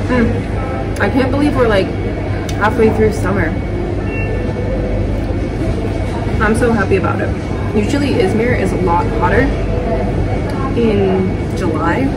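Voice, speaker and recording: Over loud background noise, a woman speaks at a fairly slow pace with long, frequent pauses. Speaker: vlogger. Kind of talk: casual vlog chat. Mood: relaxed, chatty. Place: cafe. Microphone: phone near.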